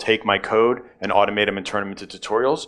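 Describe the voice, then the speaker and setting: Over a silent background in a very clean recording, a man talks at a fairly quick pace in a fairly low voice. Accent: American. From New York, US. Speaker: tech conference speaker. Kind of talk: conference talk. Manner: many filler words.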